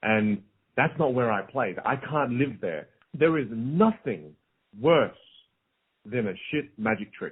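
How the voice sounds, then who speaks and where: A man with a medium-pitched voice speaks at a very slow pace, his intonation lively. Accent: Australian. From South Australia. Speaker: motivational speaker and magician. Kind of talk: podcast interview. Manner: repetitive stammering restarts.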